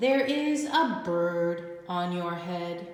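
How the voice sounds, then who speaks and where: Heavy echo surrounds a woman using a put-on character voice at a fairly low pitch. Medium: read story. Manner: calm, cheerful.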